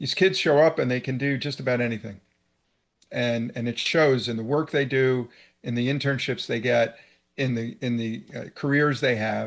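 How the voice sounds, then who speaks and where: A man with an American accent, medium pitch, an ordinary speaking voice, ordinary pitch variation, a moderate pace and a quiet background. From New York, downstate (New Rochelle area). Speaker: cable and media executive. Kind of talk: interview.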